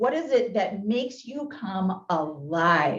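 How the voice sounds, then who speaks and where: With a Southern US accent, a woman speaks in an energetic tone at a medium pitch. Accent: US South. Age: 40s. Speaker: motivational speaker. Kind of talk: keynote talk. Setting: business luncheon meeting, hybrid. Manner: loud.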